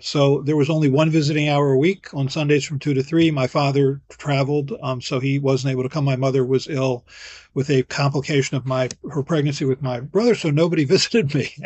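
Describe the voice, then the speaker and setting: The man has an unremarkable speaking voice at a fairly high pitch. He talks at a fairly quick pace with fairly even intonation. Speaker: physician, vaccine expert. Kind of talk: interview.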